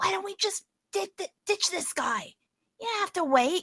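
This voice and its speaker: Using a put-on character voice, a female-sounding speaker talks quietly at a moderate pace and an extremely high pitch. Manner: hushed, conspiratorial.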